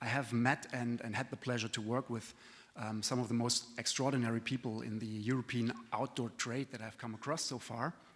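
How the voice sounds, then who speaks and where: At a fairly quick pace, a man speaks at a medium pitch with monotone, flat intonation. The recording is very clean, with a silent background. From continental Europe. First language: not English. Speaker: trade association executive. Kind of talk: conference presentation. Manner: hesitant, many fillers.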